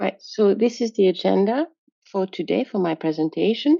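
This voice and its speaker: A woman with a French accent at a fairly slow pace, with ordinary pitch variation. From France. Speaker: software quality engineer. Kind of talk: conference presentation. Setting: video call.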